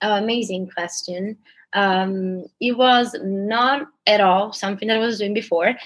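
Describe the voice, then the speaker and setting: A woman speaks at a fairly slow pace with an Italian accent. Her medium pitch shows ordinary variation. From Italy, Palermo. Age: 20s. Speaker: dancer. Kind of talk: casual chat.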